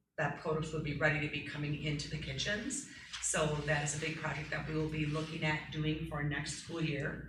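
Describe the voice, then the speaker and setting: A woman with an American accent speaks at a fairly quick pace in a very deep, low pitch with monotone, flat intonation. Audible room echo and noticeable background noise run through the clip. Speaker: school food service director. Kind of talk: board meeting report. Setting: school board meeting room. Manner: loud.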